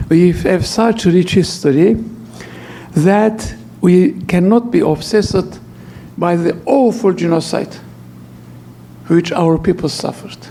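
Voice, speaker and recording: A man with a non-native accent, high in pitch with ordinary pitch variation, at a fairly slow pace with long, frequent pauses and noticeable background noise. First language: not English. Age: 80s+. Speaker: archbishop and lecturer. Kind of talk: lecture. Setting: church hall with audience.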